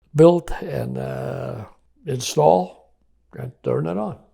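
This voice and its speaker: A man speaks with a dark, mellow tone and vocal fry. His pitch swings very widely. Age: 80s+. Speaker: engineering executive. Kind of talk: interview. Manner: halting, many fillers.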